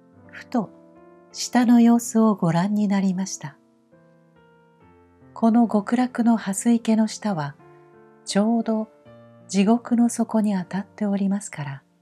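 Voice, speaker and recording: Music plays behind a woman whose fairly high voice has a gentle tone, a fairly slow pace, long, frequent pauses and big swings in loudness. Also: ordinary pitch variation. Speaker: narrator. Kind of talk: sleep story reading. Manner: slow, gentle.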